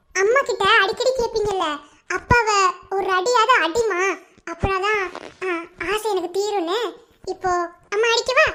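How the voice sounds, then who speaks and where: A woman uses a cartoonish character voice. Her pitch is extremely high. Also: fairly slow pace. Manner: fast, sharp-tongued, teasing.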